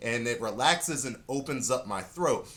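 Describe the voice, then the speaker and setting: At a moderate pace, a man speaks in an animated tone with lively intonation. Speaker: saxophone teacher. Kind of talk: tutorial.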